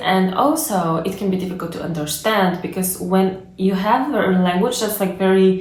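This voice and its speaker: Amid noticeable background noise and audible room echo, a woman with a Bulgarian accent talks at a medium pitch with fairly even intonation. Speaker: language learning youtuber. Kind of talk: casual explainer monologue. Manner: conversational, many fillers.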